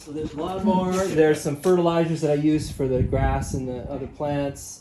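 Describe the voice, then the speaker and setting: A man at a moderate pace, fairly high in pitch with fairly even intonation, amid noticeable background noise. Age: 60s. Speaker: home seller. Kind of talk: home walkthrough tour. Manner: casual, halting.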